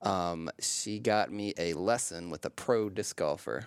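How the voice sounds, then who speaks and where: A man speaks at a very slow pace in a fairly low pitch with ordinary variation. The recording is very clean and dry, close with no echo, over a silent background. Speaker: podcast co-host, psychology professor. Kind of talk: casual conversation. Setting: studio.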